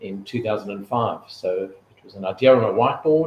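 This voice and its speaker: A man with a South African accent talks at a medium pitch with ordinary pitch variation. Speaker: retail executive. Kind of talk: interview.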